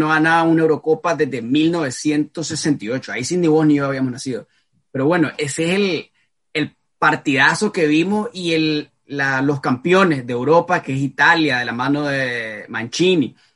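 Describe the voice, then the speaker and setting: This man has an unremarkable speaking voice, fairly high in pitch with ordinary pitch variation, and he talks at a moderate pace. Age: 20s. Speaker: football podcast host. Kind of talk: casual chat.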